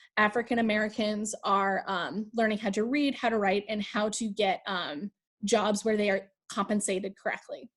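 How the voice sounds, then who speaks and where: Using an unremarkable speaking voice, a woman talks at a moderate pace with a fairly high pitch and ordinary pitch variation. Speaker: high school history teacher. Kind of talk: lecture. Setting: video call.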